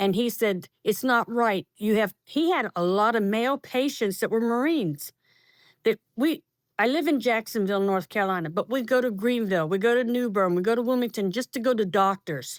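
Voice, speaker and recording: A normal speaking voice in an American accent, with lively intonation, very even loudness and a moderate pace, on a very clean recording with a silent background and a dry, close sound with no echo. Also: woman, fairly high pitch for a woman. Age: 60s. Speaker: cancer survivor, Marine family member. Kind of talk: testimony.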